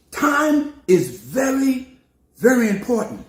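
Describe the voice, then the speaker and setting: An animated man with a New York accent, extremely high-pitched, with lively intonation. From New York City. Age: 70s. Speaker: preacher. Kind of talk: sermon.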